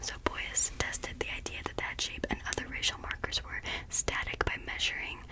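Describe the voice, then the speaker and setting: A whispering woman at a fairly slow pace, with noticeable background noise. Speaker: ASMR creator. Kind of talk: ASMR study-with-me ramble. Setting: far from microphone. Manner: whispered.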